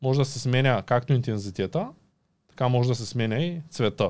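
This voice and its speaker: A man speaks fairly slowly with ordinary pitch variation. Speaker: YouTuber and podcast host; podcast guest. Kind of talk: casual interview. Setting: studio. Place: studio. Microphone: studio mic.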